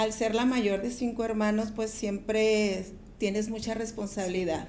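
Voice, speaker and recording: Audible room echo surrounds a woman whose fairly high-pitched voice has a dark, mellow tone. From Ciudad Juárez, Mexico (border). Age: 60s. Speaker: pastor. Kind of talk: testimony.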